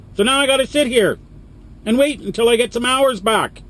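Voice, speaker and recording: A man speaks at a fairly quick pace in an animated tone. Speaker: truck driver vlogger. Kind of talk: vlog rant. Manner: loud.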